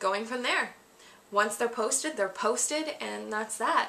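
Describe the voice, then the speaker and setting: Over noticeable background noise, a woman's shaky voice sits at a fairly high pitch. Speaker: vlogger. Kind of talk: Q&A vlog monologue.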